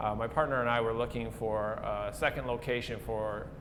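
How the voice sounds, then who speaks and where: Speaking with an Upper Midwest accent, a man at a medium pitch is heard with audible room echo. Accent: Upper Midwest American. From South Dakota (Pierre). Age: 20s. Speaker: coffee shop owner. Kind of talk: interview. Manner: casual, with frequent fillers.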